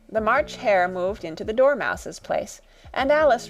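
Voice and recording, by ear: The intonation rises and falls in a lively way. The text is read aloud in a natural voice.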